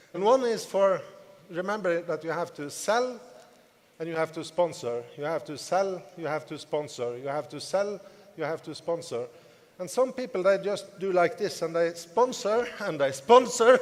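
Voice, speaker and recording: Speaking with a non-native accent, a man uses a high pitch and lively intonation. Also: moderate pace. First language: not English. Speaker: network marketing business leader. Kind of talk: motivational talk.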